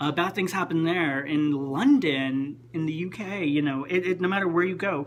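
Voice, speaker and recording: A man with an American accent at a moderate pace, ordinary pitch variation, and noticeable background noise. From Texas. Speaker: vlogger. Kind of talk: casual vlog monologue. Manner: chatty, with many fillers.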